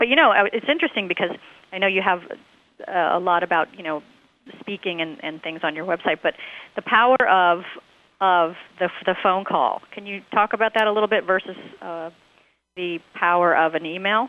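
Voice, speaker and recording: A woman of medium pitch and ordinary pitch variation speaks at a moderate pace, leaving long, frequent pauses. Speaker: radio host. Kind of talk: radio interview. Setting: radio studio broadcast. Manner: laughs often, chatty.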